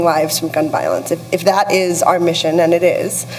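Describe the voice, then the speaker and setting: Both noticeable background noise and audible room echo surround a woman as she talks. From US-Mexico border region. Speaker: communications executive, panelist. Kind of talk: panel discussion. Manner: hesitant, many fillers.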